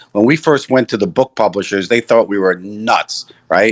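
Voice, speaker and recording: A speaker with an American accent talks at a fairly quick pace in a dry, close sound with no echo. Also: man, quiet background. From New York City. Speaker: entrepreneur. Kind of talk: interview. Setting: video call.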